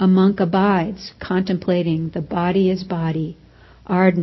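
Fairly even intonation goes with this plain reading aloud.

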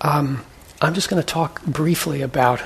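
Noticeable background noise runs through the clip. Meanwhile a man talks at a moderate speed. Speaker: meditation teacher. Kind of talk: dharma class teaching. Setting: classroom with microphone.

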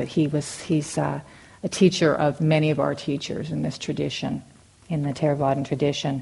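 A woman with a very deep, low voice speaks in a somewhat breathy, monotone, flat way. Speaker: meditation teacher. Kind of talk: dharma talk. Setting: meditation hall with audience. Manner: halting.

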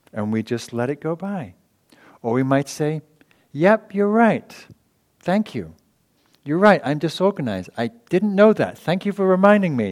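At a moderate pace, a man with an English accent speaks in a high pitch with very wide pitch swings and long, frequent pauses, in a dry, close sound with no echo. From England. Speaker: meditation teacher and author. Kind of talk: dharma talk. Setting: meditation hall with audience.

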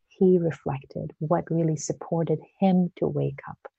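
A woman speaks at a fairly slow pace in a calm, soothing tone, with a dry, close sound with no echo. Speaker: meditation teacher. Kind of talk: guided meditation. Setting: live online stream. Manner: slow, soft-spoken, gentle; calm, soothing, with long pauses.

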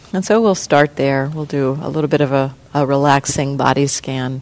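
A woman's very deep, low voice against noticeable background noise. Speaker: meditation teacher. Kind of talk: guided meditation. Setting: meditation center talk, recorded for audio.

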